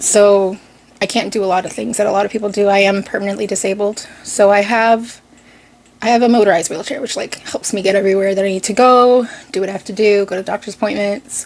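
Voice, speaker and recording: At a very fast pace, a woman with an American accent speaks in a fairly even intonation over noticeable background noise. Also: medium pitch for a woman. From Boston (Dorchester), Massachusetts, US. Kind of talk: casual vlog talk.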